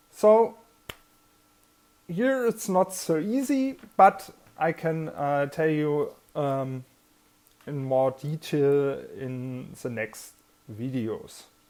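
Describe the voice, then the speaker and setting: A woman with a German accent and a very deep, low pitch speaks very slowly, with long, frequent pauses. Her pitch swings very widely, and there is noticeable background noise. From Germany. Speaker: army veteran. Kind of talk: personal vlog talk. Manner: halting.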